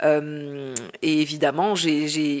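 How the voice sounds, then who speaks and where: This woman's voice sits at a very deep, low pitch. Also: very clean recording, silent background. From Marseille, southern France. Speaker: journalist. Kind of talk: interview. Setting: at her home.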